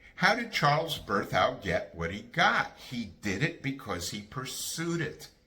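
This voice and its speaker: Audible room echo surrounds a man whose pitch swings very widely. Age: 70s. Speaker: bassist and music educator. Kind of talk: casual monologue on music careers. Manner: emphatic; halting with fillers.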